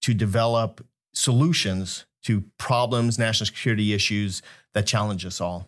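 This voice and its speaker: A man with a plain, everyday voice and an American accent speaks at a fairly slow pace, fairly low in pitch and with fairly even intonation. The recording is very clean, with a silent background. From Kansas, US Midwest. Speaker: academic director, retired army officer. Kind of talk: interview chat.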